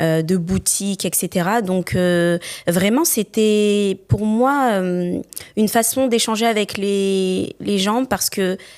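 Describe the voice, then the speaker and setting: Very slowly, a woman speaks at a medium pitch with ordinary variation and very even loudness. The recording is very clean and the background silent. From northern France, Roubaix. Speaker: entrepreneur. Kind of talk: interview.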